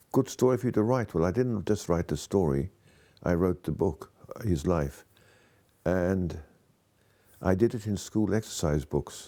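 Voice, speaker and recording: With lively intonation at a moderate pace, a man with a very deep, low, dark and mellow voice takes long, frequent pauses on a very clean recording with a silent background. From Wales and abroad, British schooling. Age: 70s. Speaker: author. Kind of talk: interview testimony.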